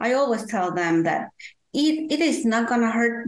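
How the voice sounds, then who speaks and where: This woman has a fairly high pitch and speaks with a Spanish accent. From Guatemala. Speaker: parent consultant, advocate for deaf children's families. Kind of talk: interview, personal storytelling. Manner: halting, hesitant with fillers.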